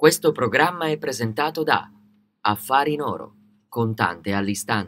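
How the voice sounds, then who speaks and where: Lively intonation interrupted by long, frequent pauses. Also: man, medium pitch for a man. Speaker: sports commentator. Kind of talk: sports match highlights commentary. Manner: fast, clipped, rattling off match events; neutral, energetic play-by-play delivery.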